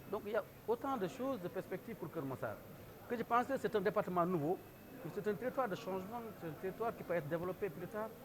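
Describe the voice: A man talks fast with few pauses, his high-pitched voice carrying lively intonation.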